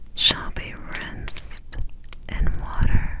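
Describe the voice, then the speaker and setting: A woman whispers at a very slow pace against noticeable background noise. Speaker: ASMR Bible reader. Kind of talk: scripture reading. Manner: whispered.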